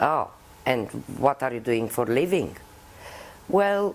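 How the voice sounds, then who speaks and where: The speaker has a Romanian accent and talks at a very slow pace. The pitch swings very widely. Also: woman. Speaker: puppeteer. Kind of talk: interview.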